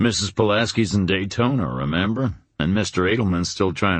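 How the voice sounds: Ordinary pitch movement in a natural reading voice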